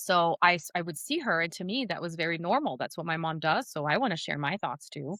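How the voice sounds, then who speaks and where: A bright, sharp tone moves at a fairly quick pace with lively intonation. The sound is dry and close, with no echo. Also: woman, fairly low pitch for a woman, hardly any pauses. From Brazil. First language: Portuguese. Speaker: speaking coach and singer. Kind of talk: podcast interview.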